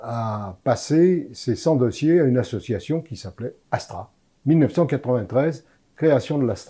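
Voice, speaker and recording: A somewhat breathy man's voice with a dark, mellow tone, lively intonation and a fairly slow pace, on a very clean recording with a silent background. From France, Lyon (Croix-Rousse). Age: 80s+. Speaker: former association volunteer. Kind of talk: interview testimony. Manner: halting.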